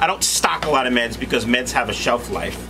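There is music in the background as a man speaks. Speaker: fish breeder vlogger. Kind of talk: casual vlog chat. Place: home room.

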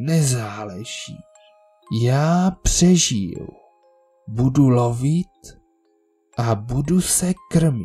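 Faint music plays behind a man putting on a character voice. His pitch is medium. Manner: hissing, menacing.

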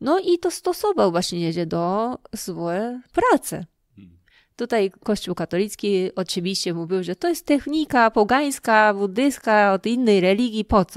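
A woman's voice with a Japanese accent, very wide pitch swings, and a fairly slow pace, on a very clean recording with a silent background and a dry, close sound with no echo. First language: Japanese (speaking Polish). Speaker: lecturer and festival organizer. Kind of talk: interview. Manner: halting.

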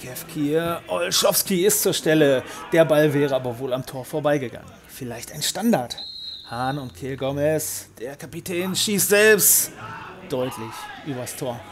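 A man with a fairly high voice speaks at a fairly slow pace in an upbeat tone with lively intonation. His loudness swings widely, and noticeable background noise is present. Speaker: match commentator. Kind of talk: sports commentary. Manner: brisk, upbeat play-by-play; partisan, speaks of 'our boys'.

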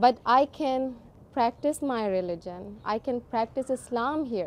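A woman speaks in a Pakistani accent at a moderate pace. Light background noise can be heard. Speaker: first-time voter. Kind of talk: interview answer. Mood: excited, earnest.

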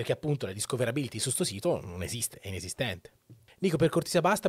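Talking very fast with vocal fry and very wide pitch swings, a man is heard in a dry sound with no echo against a quiet background. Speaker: Twitch streamer. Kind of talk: casual monologue opinion. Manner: informal, rambling, profane. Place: home room. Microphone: studio mic.

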